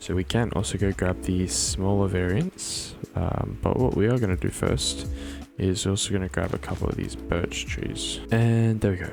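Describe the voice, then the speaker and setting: With music in the background, a man speaks in a very deep, low pitch that swings very widely. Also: moderate pace. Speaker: Minecraft builder. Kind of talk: casual tutorial narration.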